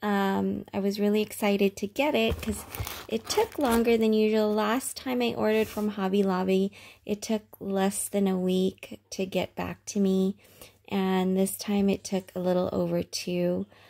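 A woman with a dark, mellow tone, moderate pace, fairly even intonation and very even loudness, over a quiet background. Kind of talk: casual vlog chat. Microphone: phone near.

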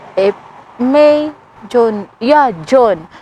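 The pace of this woman's speech is very slow. She talks at a fairly high pitch. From Philippines, Butuan City (Mindanao). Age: 30s. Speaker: vlogger. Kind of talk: casual chat. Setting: outdoors. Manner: halting.

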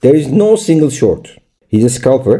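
The tone is dark and mellow, with a Turkish accent and lively intonation. The background is quiet. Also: man. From Turkey. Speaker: crypto trading YouTuber. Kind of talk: screen-share tutorial. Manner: halting.

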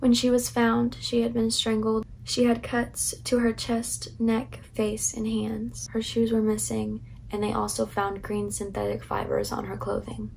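A woman speaks at a fairly slow pace with a fairly high pitch and vocal fry. Her intonation is monotone and flat, and her tone is slightly mellow.

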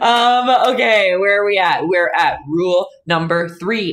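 The woman's tone is animated. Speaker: painting instructor and live streamer. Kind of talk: live-streamed painting tutorial with chat banter. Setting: home art studio, live stream. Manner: animated, chatty, laughs often. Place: home room.

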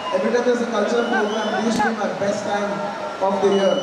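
There is crowd noise behind a man talking. The room echo is audible. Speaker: guest. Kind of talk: stage speech. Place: stage. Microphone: pa.

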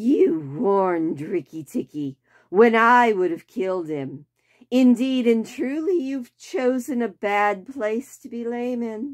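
A female-sounding put-on character voice hisses in a menacing tone at a fairly high pitch. It moves at a fairly slow pace against a quiet background. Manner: hissing, menacing.

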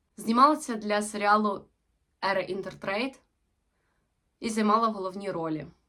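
At a moderate pace, a woman with a medium pitch, ordinary pitch variation and a bright, sharp tone speaks with long, frequent pauses. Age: 20s. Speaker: actress. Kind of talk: self-presentation video.

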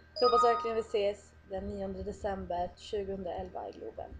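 Faint background music can be heard. Over it, a woman talks. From Sweden, Dalarna (Älvdalen); Sweden. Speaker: applicant for sidekick contest. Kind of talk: video application. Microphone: webcam.

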